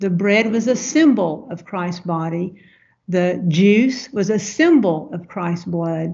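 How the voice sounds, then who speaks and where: A woman in a Southern US accent, somewhat breathy, with lively intonation and a fairly slow pace. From US South. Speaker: missionary language coach. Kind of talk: interview, personal reflection.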